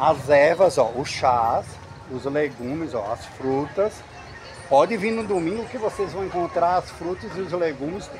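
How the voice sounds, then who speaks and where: Noticeable background noise runs behind the speaker. He is a man with a high pitch. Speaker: travel vlogger. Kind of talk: casual vlog chat. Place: market. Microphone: phone near.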